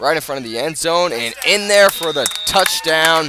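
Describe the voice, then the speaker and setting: A man's lively intonation moves at a moderate pace, set against noticeable background noise. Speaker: radio play-by-play announcer. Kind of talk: live sports radio play-by-play. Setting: outdoors at a football stadium, live broadcast.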